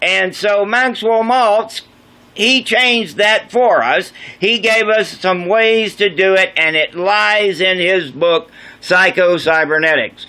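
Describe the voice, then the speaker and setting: A man speaks in a raised, projected voice with a bright, sharp tone and a high pitch. His loudness stays very even, his pitch varies in an ordinary way, and his pace is very slow. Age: 60s. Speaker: vlogger, ex-airline pilot and drummer. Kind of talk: casual monologue vlog.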